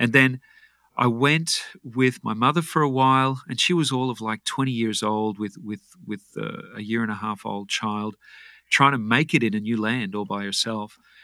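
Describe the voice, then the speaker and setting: In a very clean recording with a silent background, a man with an Australian accent speaks at a moderate pace in a bright, sharp tone, with medium pitch and ordinary pitch variation. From Australia (Brisbane, Queensland). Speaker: health and fitness coach. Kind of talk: interview.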